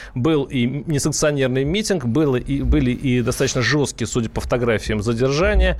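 A man talks in a normal speaking voice at a medium pitch. His pace is moderate and his pitch variation ordinary. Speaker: radio host. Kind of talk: radio talk show. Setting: studio.

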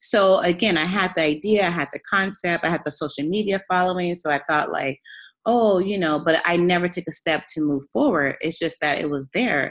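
A woman talks at a moderate pace in an ordinary speaking voice. Her pitch is fairly low, with ordinary pitch variation. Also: quiet background. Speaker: fashion entrepreneur. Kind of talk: casual chat.

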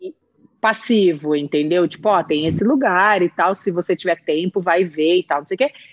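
A woman speaks at a moderate pace in a fairly low voice, with ordinary pitch variation and a normal speaking voice. The sound is dry and close, without echo. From interior of São Paulo state, Brazil (Presidente Prudente). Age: 40s. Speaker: TV producer. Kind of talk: casual interview chat.

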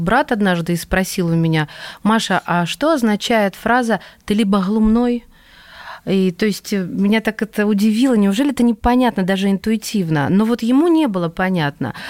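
A normal speaking voice, medium in tempo and ordinary in pitch movement, on a very clean recording against a silent background. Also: woman. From Russia, Kursk. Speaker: radio host. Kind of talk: radio interview.

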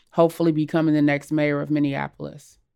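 An American accent marks the speech. Background silence makes for a very clean recording. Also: woman. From US South and Los Angeles. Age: 40s. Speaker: civil rights attorney. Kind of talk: personal reflection.

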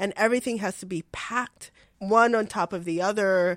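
With a very clean recording and silent background, a woman speaks in an unremarkable speaking voice of medium pitch with ordinary pitch variation. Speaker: podcast co-host. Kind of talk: casual chat.

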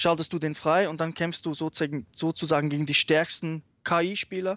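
Against a quiet background, a man with a plain, everyday voice and fairly high pitch talks at a moderate pace, the sound dry and close with no echo. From Switzerland. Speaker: fighting game fan. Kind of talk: casual chat. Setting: remote call.

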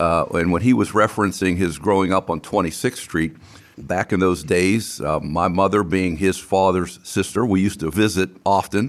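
A man's very deep, low voice with a western Pennsylvania accent, moderate pace and fairly even intonation. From US, Beaver Falls, western Pennsylvania. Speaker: podcast host. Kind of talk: reading scripted intro; casual interview.

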